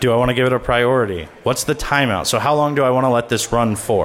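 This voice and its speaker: Against noticeable background noise, a man talks at a fairly quick pace and medium pitch. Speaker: conference speaker on malware analysis. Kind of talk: conference talk with live demo. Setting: stage with audience. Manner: fast.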